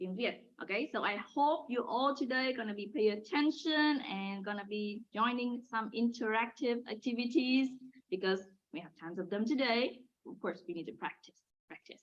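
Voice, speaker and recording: Lively intonation and big swings in loudness mark this voice with a northern Vietnamese accent. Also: woman, fairly high pitch for a woman, moderate pace. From Hanoi, northern Vietnam. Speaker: language teacher. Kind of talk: lesson. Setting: video call.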